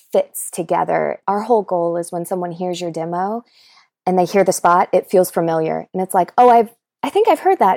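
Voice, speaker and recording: An American-accented woman with a plain, everyday voice speaks at medium pitch with lively intonation. The recording is very clean, with a silent background and a dry, close sound with no echo. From North Carolina, US South. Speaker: voice actor. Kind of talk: casual interview chat.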